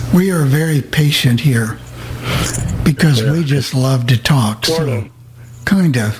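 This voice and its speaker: A man talks at a fairly slow pace with a medium pitch and long, frequent pauses. Noticeable background noise is present. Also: ordinary pitch variation, big swings in loudness. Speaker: radio show host. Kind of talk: casual chat. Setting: video call.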